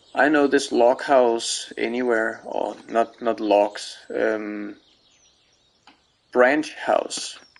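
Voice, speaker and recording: A man speaks very slowly in a Danish accent. He leaves long, frequent pauses. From Denmark. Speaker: video game streamer. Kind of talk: let's play commentary. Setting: live stream. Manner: halting, many fillers.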